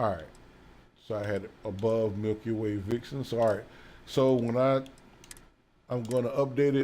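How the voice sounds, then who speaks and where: At a fairly slow pace, a man talks in a dark, mellow tone at medium pitch with ordinary pitch variation. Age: 50s. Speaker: gaming YouTuber and music producer. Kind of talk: casual gameplay commentary. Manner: casual, halting with fillers.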